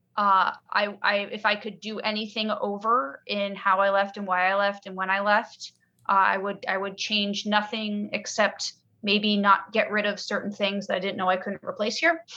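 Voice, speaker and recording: Talking at a moderate pace, a woman with an American accent has a medium pitch and a plain, everyday voice. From United States. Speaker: podcast guest, emigrant. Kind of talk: casual chat.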